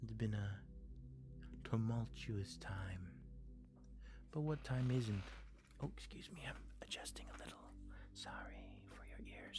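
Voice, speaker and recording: The voice is soft-spoken, moving at a fairly slow pace with long, frequent pauses. Music plays in the background. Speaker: live streamer. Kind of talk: casual live-stream chat with viewers.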